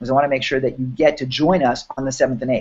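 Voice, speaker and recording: Here a man speaks with a New York accent. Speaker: online business workshop host. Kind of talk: live webinar promo chat. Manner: animated.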